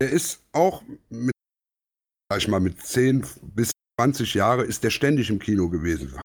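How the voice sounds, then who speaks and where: A man talks at a medium pitch with vocal fry and very wide pitch swings, leaving long, frequent pauses. The sound is dry and close with no echo. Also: fairly slow pace. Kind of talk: casual chat.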